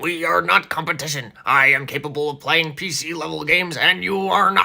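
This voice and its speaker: Putting on a character voice, a man speaks at a fairly high pitch. His pace is fairly quick. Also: ordinary pitch variation. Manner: gruff, boastful.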